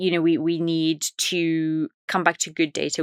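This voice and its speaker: With an Irish accent, a woman speaks in a very deep, low pitch and a monotone, flat intonation, the sound dry and close with no echo. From Ireland, west coast. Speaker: data and AI executive. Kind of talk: podcast interview.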